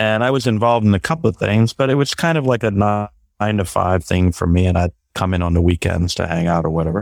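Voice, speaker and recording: With a New York accent, a man talks in a fairly low pitch with lively intonation, on a very clean, dry, close recording with no echo and a silent background. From Brooklyn, New York. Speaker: sustainability strategist and entrepreneur. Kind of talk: interview.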